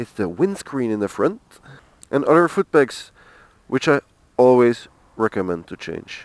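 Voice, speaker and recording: In a dry, close sound with no echo, a man at a medium pitch speaks at a moderate pace with very wide pitch swings. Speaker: motorcycle reviewer. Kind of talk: casual review talk to camera.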